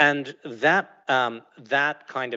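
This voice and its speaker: A man is speaking. Behind him, the background is quiet. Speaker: panel moderator. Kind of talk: moderated panel discussion. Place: stage.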